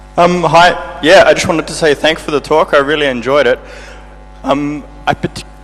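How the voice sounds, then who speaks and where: The pitch varies in an ordinary way. Noticeable background noise sits behind the voice. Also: man. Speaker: audience member asking a question. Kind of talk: audience question. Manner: fast.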